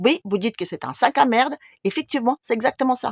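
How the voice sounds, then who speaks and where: Fairly quick, high-pitched speech from a woman, with very wide pitch swings, in a dry, close sound with no echo. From Russia. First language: Russian (speaking French). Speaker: YouTuber. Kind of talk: video monologue.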